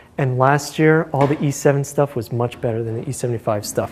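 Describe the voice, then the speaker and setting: Over noticeable background noise, a man talks at a fairly quick pace and fairly high pitch, keeping his intonation fairly even. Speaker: university lecturer. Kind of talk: lecture. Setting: lecture hall with students. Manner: fast; halting, many fillers.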